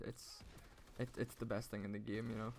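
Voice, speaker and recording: A man speaks in an Irish accent. His pace is very fast. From Ireland. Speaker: gaming YouTuber. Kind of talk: gameplay commentary. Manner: casual.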